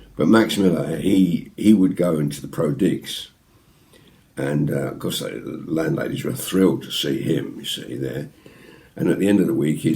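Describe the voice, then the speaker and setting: A man speaks at a moderate pace with a very deep, low pitch and vocal fry. His intonation is lively. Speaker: ventriloquist. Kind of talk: anecdote told to camera. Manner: casual, chatty.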